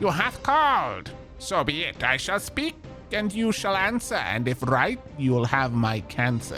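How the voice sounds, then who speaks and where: Over clear music in the background, a shrill, put-on character voice speaks at a fairly slow pace. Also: man, fairly high pitch for a man. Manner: screeching.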